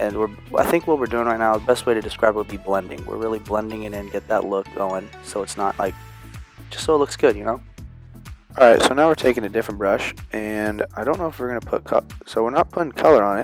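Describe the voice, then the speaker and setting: With music in the background, a man talks at a very fast pace and fairly low pitch, with ordinary pitch variation. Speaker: cousin doing the voiceover. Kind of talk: casual improvised voiceover commentary. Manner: joking, casual, playful.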